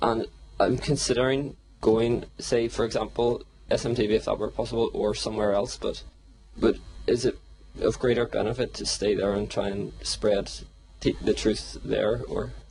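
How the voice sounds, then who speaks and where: With a Northern Irish accent, a man speaks at a moderate pace. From Northern Ireland. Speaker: follower asking a question. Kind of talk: audience question.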